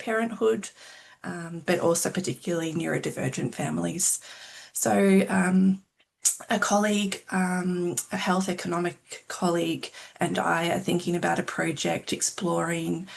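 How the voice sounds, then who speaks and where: A woman's fairly low voice with an Australian accent, lively intonation and a moderate pace. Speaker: clinical psychologist and researcher. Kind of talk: self-introduction at info session. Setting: video call.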